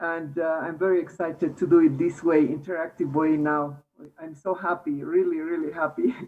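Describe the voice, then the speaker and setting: A woman with a strong Bolivian accent speaks at a moderate pace with fairly even intonation. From Bolivia, Cochabamba. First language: Spanish. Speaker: meditation participant. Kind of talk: casual chat.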